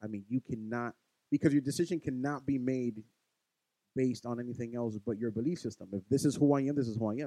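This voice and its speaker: A man with a New York accent talks at a very fast pace and medium pitch, with ordinary pitch variation. His tone is dark and mellow, and the sound is dry and close with no echo. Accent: New York (Bronx). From New York City, the Bronx. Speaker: podcast co-host. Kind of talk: casual chat.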